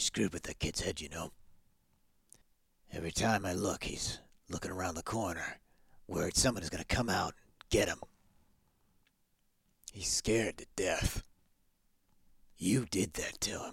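Putting on a character voice, a man sounds gruff and raspy at a fairly low pitch, speaking at a moderate pace with ordinary pitch variation, big swings in loudness, and long, frequent pauses. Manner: gruff, irritated, confrontational.

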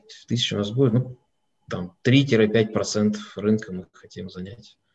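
This is a man talking. His voice is somewhat breathy. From Russia, Moscow. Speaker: company president and owner. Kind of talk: online webinar interview.

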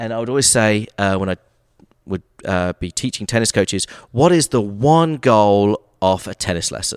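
Speaking with an American accent and lively intonation, a man with a fairly low pitch is heard in a very clean recording with a silent background and a dry, close sound with no echo. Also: moderate pace. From England, Brighton. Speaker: TV sports producer and local history creator. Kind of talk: interview.

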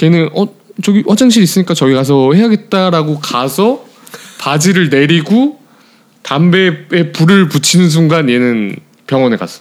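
This man's voice is high-pitched, his intonation lively. He talks at a fairly slow pace. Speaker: podcast co-host, office worker. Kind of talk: casual chat.

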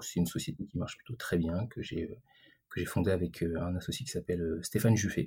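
At a fairly quick pace, a man speaks in a very deep, low pitch, his somewhat breathy voice dark and mellow, with ordinary pitch variation. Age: 40s. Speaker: digital entrepreneur. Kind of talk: interview. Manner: halting, many repetitions and fillers.

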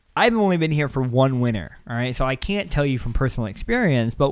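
Recorded very cleanly against a silent background, a man with a medium pitch talks fairly quickly with lively intonation in an ordinary speaking voice. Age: 20s. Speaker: podcast host. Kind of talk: casual chat.

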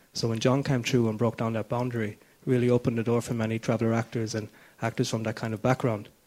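A man with a Kerry accent and a medium-pitched voice. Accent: Kerry Irish. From Ireland, Tralee, County Kerry. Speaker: actor and writer. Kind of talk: panel discussion.

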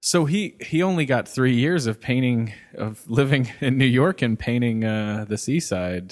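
A man talks at a fairly slow pace and medium pitch in a normal speaking voice, with lively intonation. He takes hardly any pauses, and the recording is very clean with a silent background. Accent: American. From US Midwest, Cincinnati. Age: 30s. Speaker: artist and art lecturer. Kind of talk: casual chat.

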